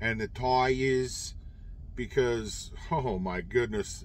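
A man speaks in a dry recording with no echo and light background noise. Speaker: truck driver vlogger. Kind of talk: casual vlog chat. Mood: exasperated about bad road. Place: car. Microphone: phone near.

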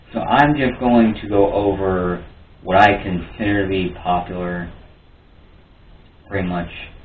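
At a fairly slow pace with long, frequent pauses, a man speaks in a fairly low voice with ordinary pitch variation, amid audible room echo and light background noise. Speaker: YouTuber. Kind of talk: casual solo vlog commentary.

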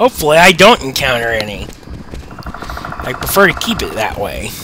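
With noticeable background noise around him, a man speaks at a fairly high pitch. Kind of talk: casual gameplay commentary. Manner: hesitant, stammering.

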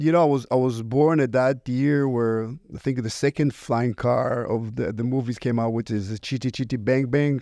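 A man with an Israeli accent speaks at a moderate pace in a medium pitch, his tone dark and mellow. His intonation stays fairly even, and the recording is very clean with a silent background.

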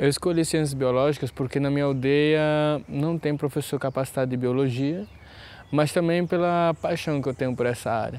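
Speaking at a moderate pace with fairly even intonation, a man with a fairly high pitch keeps his loudness very even in a dry sound with no echo. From Brazil, Pernambuco (Pankararu village); Pernambuco. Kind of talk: interview testimony. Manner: hesitant, with fillers. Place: garden. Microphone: lapel.

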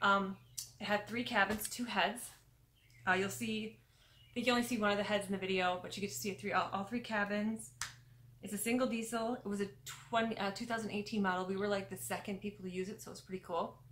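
Over light background noise, the voice runs at a very fast pace with fairly even intonation. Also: woman. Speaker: travel vlogger. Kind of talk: casual vlog chat. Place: home room. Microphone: phone near.

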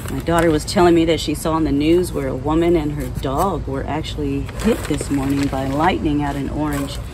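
A woman talks at a fairly quick pace with hardly any pauses. Noticeable background noise is present. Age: 50s. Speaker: gardening video creator. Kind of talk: casual vlog talk while gardening. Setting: outdoors in the garden. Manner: relaxed with many fillers. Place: garden. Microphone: phone near.

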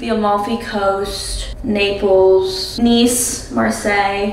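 A woman speaking at a very slow pace, with audible room echo and music in the background. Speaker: lifestyle vlogger. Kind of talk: casual vlog chat. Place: bathroom. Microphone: camera far.

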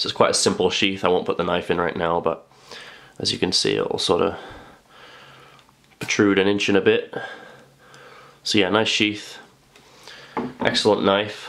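The speaker keeps a moderate pace broken by long, frequent pauses. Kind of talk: product review.

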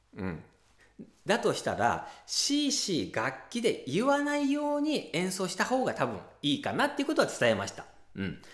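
A man talks at a moderate pace. The background is quiet, though room echo is audible. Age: 40s. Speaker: ocarina teacher and channel host; ocarina teacher, channel host. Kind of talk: casual tutorial talk to camera. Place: home room.

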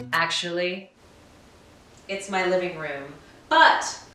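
Very slow delivery with fairly even intonation and audible room echo. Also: woman. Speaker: program host. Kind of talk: promotional narration to camera. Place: home room.

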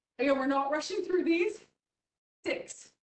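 A woman's high-pitched voice swings very widely in pitch. There is audible room echo. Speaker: fitness instructor. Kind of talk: guided fitness class with cued exercise instructions. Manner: brisk rhythmic cueing, encouraging and upbeat, counting down reps. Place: gym.

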